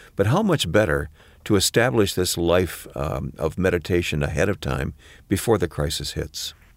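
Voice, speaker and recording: A man with an American accent speaks at a moderate pace in a very deep, low pitch with vocal fry and lively intonation, on a very clean recording with a silent background. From Michigan. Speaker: podcast co-host and announcer. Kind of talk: podcast conversation.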